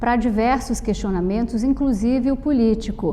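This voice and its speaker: A woman talks at a moderate pace with a fairly high pitch and ordinary pitch variation while noticeable background noise is present. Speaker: TV interviewer. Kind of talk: TV interview.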